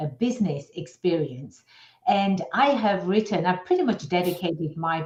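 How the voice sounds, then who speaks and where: A woman speaks at a fairly slow pace with an American accent, her pitch fairly low. Her voice is somewhat breathy, with ordinary pitch variation. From outside the US. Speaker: business attorney. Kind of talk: radio interview. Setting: radio show.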